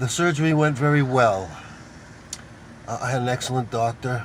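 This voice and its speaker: Through noticeable background noise, a man talks at a fairly slow pace with a medium pitch and ordinary pitch variation. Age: 60s. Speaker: video blogger. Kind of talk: casual vlog monologue. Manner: hesitant with fillers.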